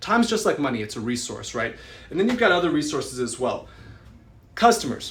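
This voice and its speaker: Against audible room echo, a man speaks in an animated tone with lively intonation. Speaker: real estate investor and educator. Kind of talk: live stream talk. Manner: fast.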